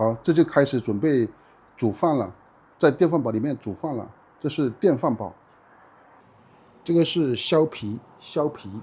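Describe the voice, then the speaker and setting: A man's medium-pitched, somewhat breathy voice, dark and mellow in tone, with lively intonation, a fairly slow pace and long, frequent pauses. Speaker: Chinese language teacher. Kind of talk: slow, clear teaching vlog narration. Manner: slow, clear, repetitive.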